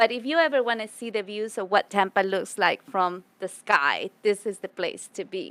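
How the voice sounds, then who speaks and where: A woman speaks at a moderate pace with hardly any pauses. Her medium pitch shows ordinary variation, and the sound is dry and close with no echo. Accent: Spanish. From Ecuador (Quito). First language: Spanish. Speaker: public speaker and community advocate. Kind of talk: podcast interview. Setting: business club venue.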